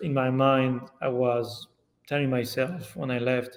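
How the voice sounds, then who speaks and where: Here a man speaks with a French accent in a medium pitch. His pace is fairly slow. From France. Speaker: yearling manager. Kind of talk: podcast interview answer.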